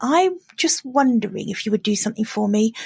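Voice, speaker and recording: With an English accent, a woman speaks at a moderate pace in a dry, close sound with no echo. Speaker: business coach podcaster. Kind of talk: solo podcast monologue. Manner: casual, chatty.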